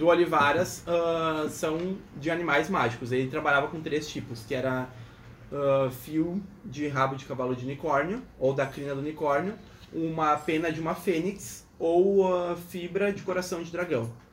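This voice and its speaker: A man speaks at a fairly slow pace in a fairly high voice, with ordinary pitch variation and audible room echo. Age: 20s. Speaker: engineering student. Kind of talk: casual chat.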